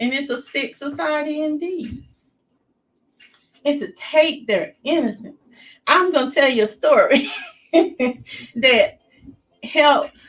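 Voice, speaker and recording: Speech comes at a very slow pace with long, frequent pauses. The intonation is lively, with a Southern US accent. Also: woman. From US South. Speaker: youtuber, commentary host. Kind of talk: casual monologue.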